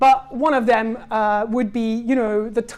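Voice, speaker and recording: A fairly high-pitched woman with a French accent. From France. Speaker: cultural and social historian. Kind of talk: conference presentation. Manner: hesitant, with self-corrections.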